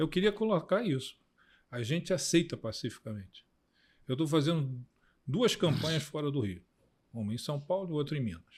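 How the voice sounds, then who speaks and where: A man with a fairly high, somewhat breathy voice talks at a moderate pace, his pitch swinging very widely between long, frequent pauses, on a very clean recording with a silent background. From Rio de Janeiro, Brazil. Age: 70s. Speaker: political scientist and campaign consultant. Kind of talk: casual political interview.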